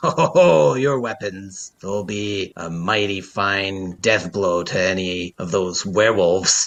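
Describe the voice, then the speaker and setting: Putting on a character voice, a man speaks at a fairly slow pace with hardly any pauses, using a fairly low pitch and ordinary pitch variation. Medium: actual play. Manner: hearty, laughing.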